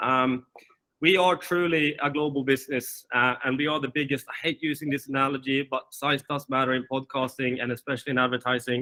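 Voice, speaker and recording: This man's fairly high voice moves at a fairly quick pace with monotone, flat intonation. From Sweden and Finland. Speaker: managing director of a podcast company. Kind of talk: webinar presentation.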